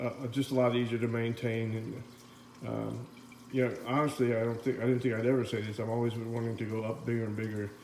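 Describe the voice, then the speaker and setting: Over noticeable background noise and audible room echo, a man talks at a very fast pace. His medium-pitched voice stays monotone and flat. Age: 60s. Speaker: aquarium hobbyist vlogger. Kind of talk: casual video update. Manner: halting with many fillers.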